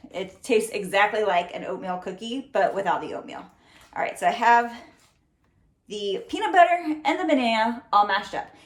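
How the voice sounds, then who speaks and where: A woman speaks at a moderate pace in a fairly high voice, her loudness rising and falling sharply and her pitch swinging very widely. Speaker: fitness trainer. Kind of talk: cooking tutorial. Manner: casual, chatty.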